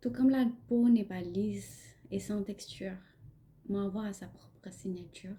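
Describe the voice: Slowly, a woman with a Pakistani accent speaks in a dark, mellow tone. Her pitch is medium with ordinary variation.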